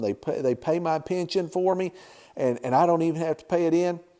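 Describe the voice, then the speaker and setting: This man has a dark, mellow tone and a high pitch. He talks fairly quickly with lively intonation. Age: 60s. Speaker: YouTube channel host giving life advice. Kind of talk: informal talk to camera. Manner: conversational.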